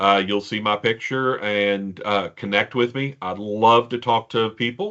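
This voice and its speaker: A man speaks with a Kentucky accent. His pitch sits in the medium range. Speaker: podcast co-host, IT business professional. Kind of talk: casual interview.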